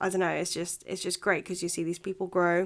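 A woman speaks at a medium pitch in a monotone, flat intonation. The recording is very clean, with a silent background. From Philippines, moved to England at nine. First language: Filipino. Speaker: podcast host. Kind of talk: casual monologue. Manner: chatty, with fillers.

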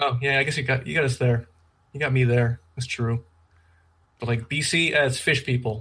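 With a slight Canadian accent, a man speaks at a fairly quick pace, his medium pitch carried in fairly even intonation. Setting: video call. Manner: fast talker.

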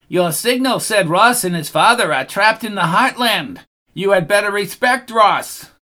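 A man's put-on character voice, high-pitched for a man. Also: moderate pace. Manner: arrogant.

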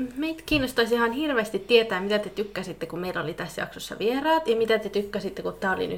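In a Finnish accent, a woman talks at a very fast pace with a fairly high pitch and lively intonation. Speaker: podcast host. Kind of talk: casual chat.

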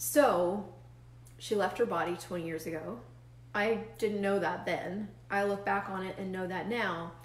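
Amid noticeable background noise, a woman with a medium pitch speaks in an animated tone. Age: 40s. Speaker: facilitator and show host. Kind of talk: solo livestream talk. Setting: live video stream with chat viewers.

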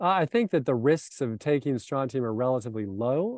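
The man has a normal speaking voice with an American accent and medium pitch. His pace is fairly quick. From South Florida. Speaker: sports medicine doctor. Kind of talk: presentation with slides. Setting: video call with screen share.

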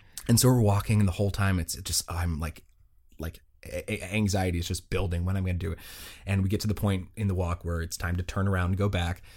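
A man talks at a very fast pace in a very deep, low pitch, somewhat breathy. The recording is very clean, with a silent background. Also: fairly even intonation. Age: 20s. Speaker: podcast co-host. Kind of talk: casual chat.

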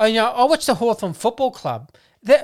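On a very clean recording with a silent background, a woman with an Australian accent speaks at a fairly quick pace. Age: 40s. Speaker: football podcast co-host. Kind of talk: casual chat.

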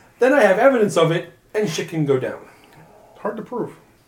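Noticeable background noise runs beneath a man who talks very fast with ordinary pitch variation. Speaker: tabletop roleplaying player. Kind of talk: tabletop roleplaying game session, casual banter.

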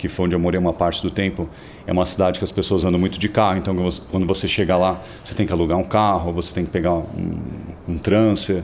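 A man's very deep, low voice at a very fast pace, monotone and flat in intonation, over noticeable background noise. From São Paulo, Brazil. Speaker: interviewee, city resident. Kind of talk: interview.

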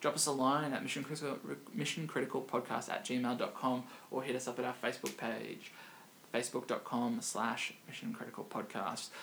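A man with an Australian accent speaks at a moderate pace in a medium pitch, his intonation fairly even. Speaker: podcast host, digital marketing strategist. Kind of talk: casual chat. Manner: halting, many fillers.

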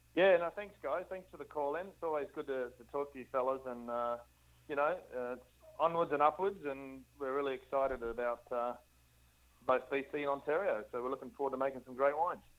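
Speaking with an Australian accent, a man uses a fairly high pitch, ordinary pitch variation and a fairly quick pace. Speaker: winemaker. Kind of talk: casual chat.

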